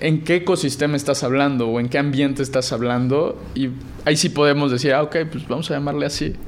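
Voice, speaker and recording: A man's fairly high, an ordinary speaking voice, at a fairly quick pace with fairly even intonation. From Mexico, Puebla. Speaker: blockchain startup founder. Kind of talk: interview.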